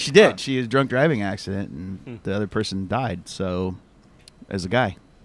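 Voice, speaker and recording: Speaking at a fairly quick pace with a Midwestern accent, a man uses a fairly low pitch, ordinary pitch variation, and big swings in loudness. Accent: general American Midwest. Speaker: podcast host. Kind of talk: casual banter. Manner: joking, profane.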